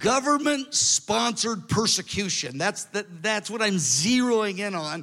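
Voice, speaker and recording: Raised and projected, a man's high voice has a bright, sharp tone and lively intonation. The recording is very clean, with a silent background. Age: 60s. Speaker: preacher. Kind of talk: sermon. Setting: stage with audience.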